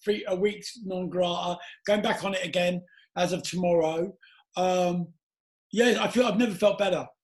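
With a London accent, a man speaks at a moderate pace and a high pitch for a man. His intonation is fairly even, broken by long, frequent pauses. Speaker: podcast host, former DJ. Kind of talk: casual chat.

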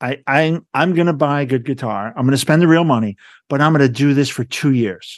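A man with a plain, everyday voice talks at a fairly quick pace, his pitch fairly high and its variation ordinary, against a quiet background. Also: dry, close sound with no echo. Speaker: podcast host and nonprofit director. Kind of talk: interview conversation.

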